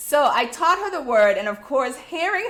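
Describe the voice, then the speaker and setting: A woman speaks in an American accent at a fairly slow pace. Her pitch swings very widely. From US Virgin Islands, St. Croix. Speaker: DIY channel host, educator. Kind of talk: casual live-stream chat. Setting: live stream. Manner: slower than her natural pace; animated, storytelling.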